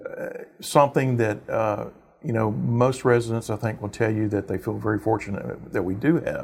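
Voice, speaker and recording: A man speaks at a moderate pace with a Texan accent over noticeable background noise. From Texas, Houston area. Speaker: mayor. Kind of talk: interview. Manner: halting, many fillers.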